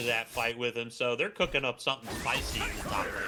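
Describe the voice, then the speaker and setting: The speaker has a Southern US accent. Music plays in the background. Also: man. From US South. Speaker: esports caster. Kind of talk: live commentary.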